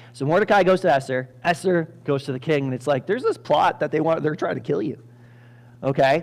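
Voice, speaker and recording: Ordinary pitch variation marks a normal speaking voice that goes at a fairly quick pace. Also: man, fairly high pitch for a man. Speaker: pastor. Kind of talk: sermon.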